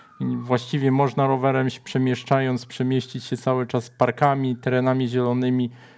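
This man has a medium pitch and monotone, flat intonation. He keeps a moderate pace. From Szczecin, Poland; Poland. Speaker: writer; guest. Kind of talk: casual chat. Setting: studio. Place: studio. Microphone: lapel.

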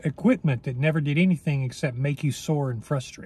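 A somewhat breathy man speaks with ordinary pitch variation in a dry sound with no echo. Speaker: weight loss coach. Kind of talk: casual vlog chat. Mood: reflective, encouraging. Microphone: phone near.

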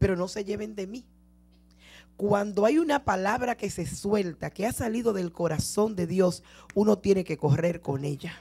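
At a fairly slow pace, a woman says her words. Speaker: preacher. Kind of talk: sermon. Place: church. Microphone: handheld.

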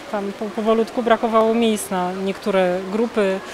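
Here a woman is speaking. Noticeable background noise runs behind her. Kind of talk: interview answer.

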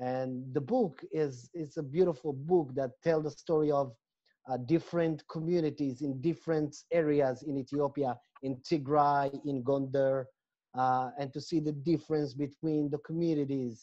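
Over a quiet background, a man with a fairly high pitch speaks in a dark, mellow tone with fairly even intonation. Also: moderate pace. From Israel, Ethiopian-born. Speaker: lecturer and educator; panelist. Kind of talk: panel discussion. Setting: video call. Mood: proud, earnest. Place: home room. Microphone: earbuds.

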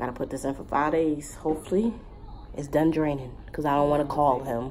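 Over light background noise, a woman speaks at a fairly quick pace. Her very deep, low voice shows ordinary pitch variation. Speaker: parent vlogger. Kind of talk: casual vlog chat. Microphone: phone near.

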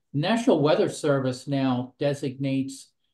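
Dark, mellow male tone with a quiet background. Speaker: presenter. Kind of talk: webinar presentation. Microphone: webcam.

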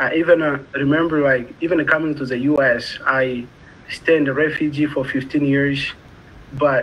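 In a Congolese accent, a man talks at a fairly slow pace with a fairly high pitch and fairly even intonation. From Democratic Republic of the Congo. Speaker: community college student. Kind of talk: interview. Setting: video call. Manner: halting. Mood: earnest, reflective. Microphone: video call.

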